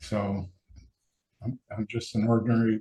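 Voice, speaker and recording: A fairly low-pitched man, somewhat breathy, with a dark, mellow tone and a fairly slow pace. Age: 70s. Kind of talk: casual interview conversation.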